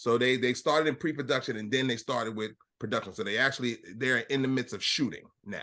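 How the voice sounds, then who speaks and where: A man at a very fast pace, medium in pitch, bright and sharp in tone, with fairly even intonation. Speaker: podcast host. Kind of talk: casual chat. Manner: loud.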